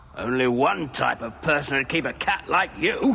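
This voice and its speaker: A man puts on a cartoonish character voice. Clear background noise runs underneath. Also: medium pitch for a man, moderate pace. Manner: musing, self-assured.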